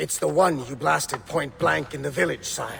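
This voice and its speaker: Doing a put-on character voice, a man sounds raspy. His pitch is fairly high and his pace moderate. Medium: video game. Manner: gloating.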